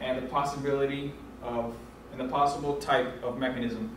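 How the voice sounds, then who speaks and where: Audible room echo and light background noise surround speech with fairly even intonation. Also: man. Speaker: presenter. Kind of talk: class presentation. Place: classroom. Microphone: camera far.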